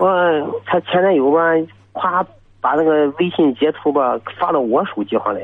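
With lively intonation and a fairly high pitch, a man talks at a moderate pace and takes long, frequent pauses. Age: 20s. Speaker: caller. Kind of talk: call-in advice talk. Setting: phone call. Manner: halting.

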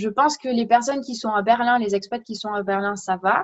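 Moderate pace, a normal speaking voice, a woman pitched fairly high. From France. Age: 20s. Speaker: podcast guest. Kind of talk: casual chat.

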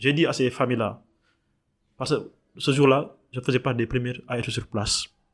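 A man is heard against a silent background in a very clean recording. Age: young. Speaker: environmental activist and artist. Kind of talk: interview. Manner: halting.

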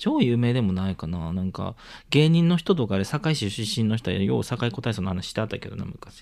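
On a very clean recording with a silent background, a man at medium pitch speaks at a fairly quick pace with lively intonation. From Osaka (Sakai). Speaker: podcast co-host. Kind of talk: casual chat. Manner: animated.

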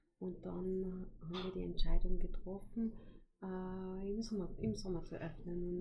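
Over audible room echo, a woman speaks with fairly even intonation. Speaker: hotel owner. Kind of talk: interview. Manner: hesitant with many fillers.

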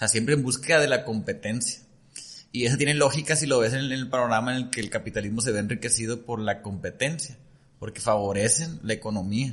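A man's somewhat breathy, medium-pitched voice, moving at a fairly quick pace with ordinary pitch variation. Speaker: nutritionist and entrepreneur. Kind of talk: casual chat.

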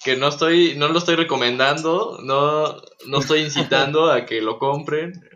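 The speech comes at a fairly slow pace with fairly even intonation over noticeable background noise. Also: man, fairly high pitch for a man. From Texas, US. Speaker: guitarist and music producer. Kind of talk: casual chat. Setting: remote recording from home.

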